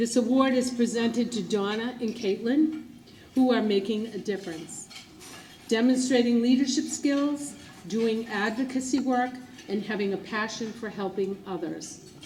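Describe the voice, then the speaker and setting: A woman speaks at a moderate pace with fairly high pitch and ordinary pitch variation, over noticeable background noise and audible room echo. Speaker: event presenter. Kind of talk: prepared speech. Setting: gala ballroom with audience.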